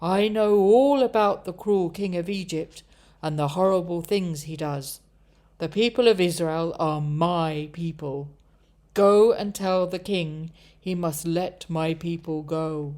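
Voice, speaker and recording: A woman's put-on character voice, fairly low in pitch, at a fairly slow pace. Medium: read story. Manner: solemn, authoritative.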